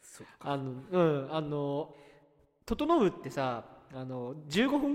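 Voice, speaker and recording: A man talks with lively intonation. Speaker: podcast co-host. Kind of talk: casual chat. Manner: starts talk with frequent 'anoo' fillers.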